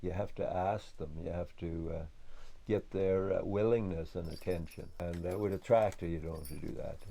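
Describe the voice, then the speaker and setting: A man with a western Irish accent speaks in a very deep, low voice, with audible echo from the room. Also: fairly even intonation, moderate pace. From west of Ireland. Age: 60s. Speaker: farmer. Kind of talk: documentary interview. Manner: halting.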